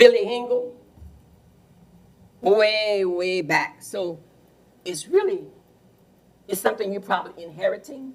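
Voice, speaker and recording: Over audible room echo, a woman with a south Louisiana accent talks at a fairly slow pace, with a medium pitch and ordinary pitch variation, long, frequent pauses, and big swings in loudness. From Louisiana, Plaquemines Parish. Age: 80s+. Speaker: resident speaking at public meeting. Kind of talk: public comment at council meeting. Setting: council meeting room with PA mic. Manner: halting.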